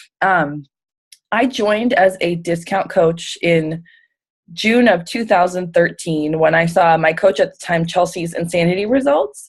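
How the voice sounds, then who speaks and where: An American accent with ordinary pitch variation. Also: woman. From US, Pittsburgh area, Pennsylvania. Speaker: fitness coach. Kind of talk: testimony on a team call.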